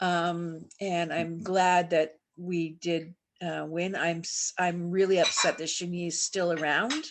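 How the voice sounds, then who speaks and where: A woman speaks in a fairly low, flat monotone. She talks very slowly with hardly any pauses. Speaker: community activist. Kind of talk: speech at online community meeting. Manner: halting.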